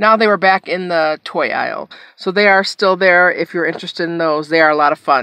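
A woman with an ordinary speaking voice talks at a fairly low pitch with fairly even intonation. The background is quiet and the sound is dry with no echo. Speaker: haul vlogger. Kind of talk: casual vlog chat. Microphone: phone near.

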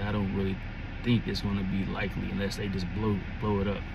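The delivery moves at a fairly quick pace. The sound is dry with no echo, with noticeable background noise. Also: man. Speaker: sports fan vlogger. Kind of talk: casual vlog chat. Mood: relaxed, conversational. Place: car. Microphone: phone near.

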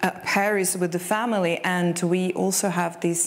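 A woman's fairly low voice at a fairly slow pace. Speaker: session moderator. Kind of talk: moderator introduction. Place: stage. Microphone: lapel.

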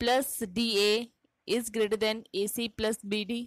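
A woman with an Indian accent talks at a very slow pace in a fairly high pitch and fairly even intonation. The recording is very clean, with a silent background and a dry, close sound with no echo. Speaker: maths teacher. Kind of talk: tutorial.

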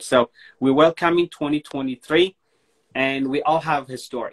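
A man with an Ethiopian accent talks with fairly even intonation. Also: quiet background. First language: Amharic. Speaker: online show host. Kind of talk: casual chat. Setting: Instagram live video call. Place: home room.

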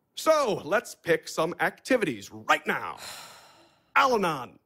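In a put-on character voice, a man speaks slowly and high for a man, with a bright, sharp tone, a slightly husky edge, vocal fry and very wide pitch swings, on a very clean recording with a silent background.

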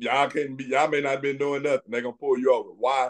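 With a quiet background, a man talks in a monotone with flat intonation. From US Midwest. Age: 40s. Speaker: retired police investigator; interview guest. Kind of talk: interview. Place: office. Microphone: video call.

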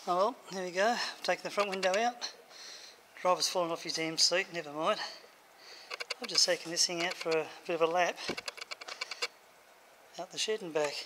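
Speech at a fairly quick pace, with noticeable background noise. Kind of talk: casual workshop vlog commentary. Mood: pleased, relaxed. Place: workshop. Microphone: phone near.

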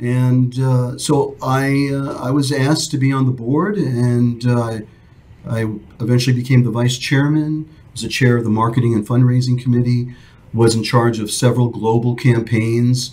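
Somewhat breathy and dark, mellow in tone, a man with an American accent talks at a moderate pace with fairly even intonation. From New York. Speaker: retired airline captain; podcast guest. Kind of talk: interview. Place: studio. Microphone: studio mic.

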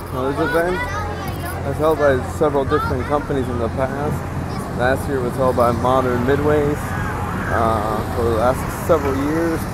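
Crowd noise fills the background as a man speaks at a moderate pace. The sound is dry, with no echo. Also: ordinary pitch variation. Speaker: carnival enthusiast vlogger. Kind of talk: walking tour commentary. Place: market. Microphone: phone near.

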